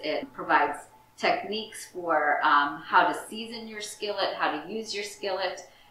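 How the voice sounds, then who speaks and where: A woman's fairly slow speech with ordinary pitch variation, audible room echo and light background noise. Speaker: library director hosting a cooking show. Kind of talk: tutorial. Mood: warm, enthusiastic. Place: kitchen.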